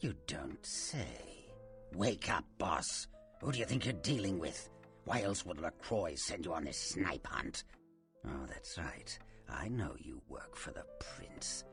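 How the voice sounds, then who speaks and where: A man puts on a character voice and speaks at a fairly slow pace. Clear music plays in the background. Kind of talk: horror villain. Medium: video game. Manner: taunting, theatrical, keeps calling listener boss.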